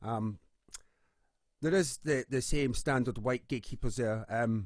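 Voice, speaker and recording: A man with a Scottish accent and a medium pitch. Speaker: musician and campaigner. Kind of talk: panel discussion.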